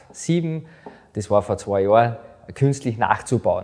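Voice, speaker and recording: A man at a medium pitch and a moderate pace, with music in the background. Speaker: podcast host. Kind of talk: podcast interview.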